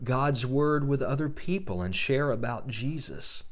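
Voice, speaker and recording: This man speaks at a fairly slow pace with a medium pitch. Audible room echo surrounds his voice. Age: 40s. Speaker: pastor. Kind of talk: podcast sermon with personal testimony.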